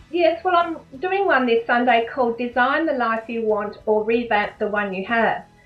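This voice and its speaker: Music plays in the background as a woman with an Australian accent speaks at a high pitch and a moderate pace, with lively intonation and hardly any pauses. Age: 60s. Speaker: life coach. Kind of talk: interview.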